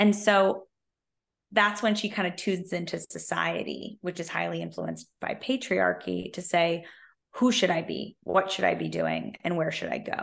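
A woman with a Californian accent at a moderate pace, against a quiet background. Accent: General American (Californian). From US West Coast, Silicon Valley. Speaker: career coach. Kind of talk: interview.

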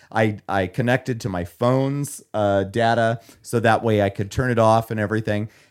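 At a moderate pace and medium pitch, a man talks with fairly even intonation in a very clean recording with a silent background. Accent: Midwestern American. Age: 30s. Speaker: podcast co-host. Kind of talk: casual chat.

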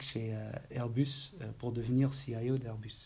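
A man with a Dutch accent speaks at a fairly slow pace in a somewhat breathy voice, his medium pitch held in a monotone, flat intonation. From Netherlands, Maastricht. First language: Dutch (speaking French). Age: 40s. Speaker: IT executive. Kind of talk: interview. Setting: office. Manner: halting.

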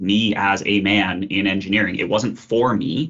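In an Ontario accent, a man speaks at a fairly slow pace, his fairly low pitch showing ordinary variation. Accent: Canadian (Ontario). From Kitchener, Ontario. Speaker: engineering lecturer. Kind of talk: interview, casual. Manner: hesitant, repetitive fillers.

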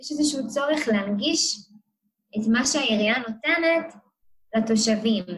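Lively intonation runs through a somewhat breathy voice delivered at a moderate pace. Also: woman. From Israel, Kiryat Motzkin. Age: 20s. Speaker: social work student. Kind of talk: interview.

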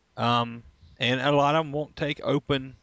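Vocal fry runs through this man's voice. His intonation stays fairly even. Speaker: magazine publisher. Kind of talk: casual chat.

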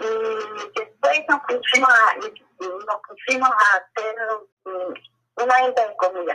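A woman speaks at a very slow pace. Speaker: grandmother telling life story. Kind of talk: oral history interview. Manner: halting. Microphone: recording quality worse than before.

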